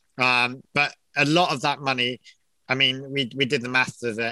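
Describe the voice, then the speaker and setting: A man with an English accent, bright and sharp in tone, at a medium pitch and moderate pace, with monotone, flat intonation and a dry, close sound with no echo. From England. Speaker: location manager. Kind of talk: casual interview.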